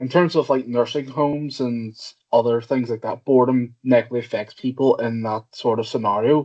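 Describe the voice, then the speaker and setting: With a Northern Irish accent, a man speaks at a moderate pace and medium pitch, his intonation fairly even. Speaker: PhD student, audience member. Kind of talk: conference Q&A question. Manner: halting, hesitant.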